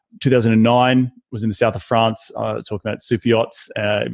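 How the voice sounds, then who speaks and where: With an Australian accent, a man speaks quickly enough at a fairly low pitch. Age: 30s. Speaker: real estate investor. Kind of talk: podcast interview.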